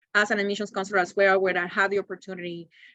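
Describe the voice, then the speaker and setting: With a Spanish accent, a woman talks at a medium pitch in a bright, sharp tone. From Cuba. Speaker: university admissions counselor. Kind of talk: webinar presentation. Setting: video webinar.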